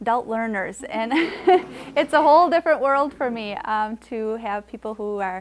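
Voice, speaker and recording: Over noticeable background noise, a woman's fairly high voice moves at a moderate pace with ordinary pitch variation. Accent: American. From Wisconsin, US. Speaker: Spanish teacher. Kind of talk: lecture. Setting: classroom with adult learners. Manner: frequent hesitations with um.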